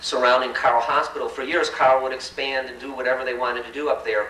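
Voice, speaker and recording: A man with an American accent at a very fast pace, with audible room echo and noticeable background noise. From Chicago South Side. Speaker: community organizer. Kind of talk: public talk to an audience. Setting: forum event with live audience. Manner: speeds up as he goes.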